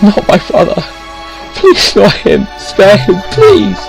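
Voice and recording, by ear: Putting on a character voice with vocal fry, a man speaks slowly at a high pitch with very wide pitch swings as faint music plays in the background.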